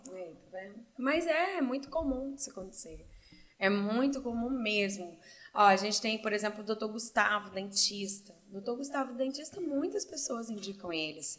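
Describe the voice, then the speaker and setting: A woman uses an ordinary speaking voice at a fairly high pitch, with lively intonation and a moderate pace. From Brazil, Cascavel, Paraná. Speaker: entrepreneur and doctoral student. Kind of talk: casual interview.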